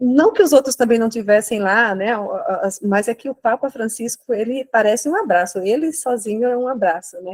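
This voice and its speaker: A Brazilian accent in a dry, close recording with no echo. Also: woman, fairly high pitch for a woman, ordinary pitch variation, moderate pace. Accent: non-local Brazilian accent, noticeable. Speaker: lay church participant. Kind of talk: spontaneous reflection in online course. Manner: halting, many repetitions.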